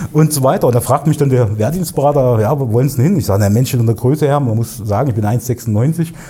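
Amid noticeable background noise, a man speaks at a very fast pace with hardly any pauses. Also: medium pitch for a man, ordinary pitch variation. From Thuringia, Erfurt (East Germany). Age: 40s. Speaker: digital agency owner, podcast co-host. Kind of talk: casual interview conversation.

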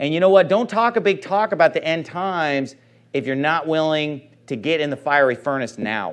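A man speaks at a moderate pace in a fairly high voice, an unremarkable speaking voice. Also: lively intonation, quiet background. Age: 30s. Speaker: pastor. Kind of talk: sermon.

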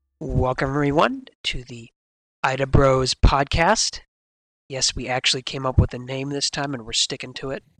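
A man with an ordinary speaking voice talks at a moderate pace and medium pitch with fairly even intonation, in a dry, close sound with no echo. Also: big swings in loudness. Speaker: podcast host.

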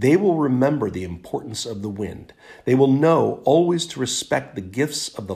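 A natural reading voice moves with lively intonation.

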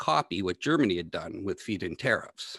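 A man with an unremarkable speaking voice, fairly low pitch and fairly quick pace, with a dry, close sound with no echo and a quiet background. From Ontario, Canada. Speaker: energy policy blogger and data analyst. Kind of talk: interview.

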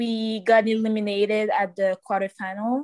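In a Quebec accent, a woman talks at a moderate pace and a medium pitch, in a flat monotone with a dry, close sound and no echo. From Quebec City, raised partly in Cameroonian family. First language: French. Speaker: soccer player. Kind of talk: interview.

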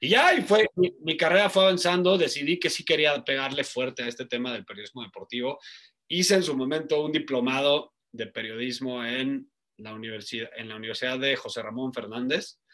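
A man's fairly high voice with a bright, sharp tone, big swings in loudness, lively intonation and a fairly quick pace. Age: 30s. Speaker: sports journalist and betting analyst. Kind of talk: casual interview.

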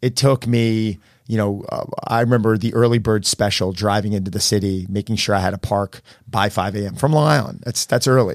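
In a very clean recording with a silent background, a man with a plain, everyday voice talks at a fairly quick pace and a fairly low pitch, with ordinary pitch variation. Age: 40s. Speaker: celebrity personal trainer and gym owner. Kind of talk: casual interview. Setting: studio.

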